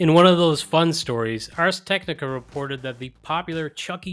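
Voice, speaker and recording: A man's fairly high voice with an American accent, a plain, everyday voice, at a moderate pace with ordinary pitch variation. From outside the US. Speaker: tech podcast host. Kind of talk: news roundup podcast.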